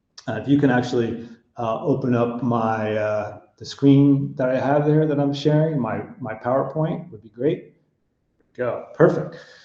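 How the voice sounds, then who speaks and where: A man with an American accent, dark, mellow tone and medium pitch, with ordinary pitch variation, big swings in loudness, a fairly slow pace and audible room echo. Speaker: hotel consulting executive. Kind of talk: webinar presentation.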